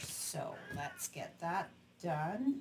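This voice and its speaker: This woman's voice sits at a medium pitch. It has a somewhat breathy quality. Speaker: craft demonstrator. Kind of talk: crafting tutorial.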